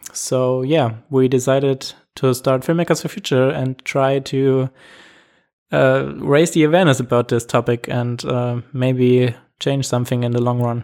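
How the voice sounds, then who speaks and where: A man with a German accent at medium pitch and fairly slow pace, in a very clean recording with a silent background. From Germany. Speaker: camera crew member, initiative founder. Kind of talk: interview. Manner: hesitant, with fillers.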